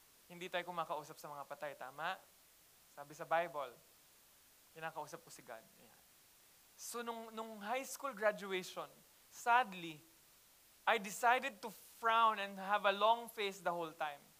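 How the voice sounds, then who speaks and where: A man with a high pitch projects a raised voice at a moderate pace, bright and sharp in tone, with lively intonation. His loudness swings widely, and he leaves long, frequent pauses. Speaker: pastor. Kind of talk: sermon. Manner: casual Taglish.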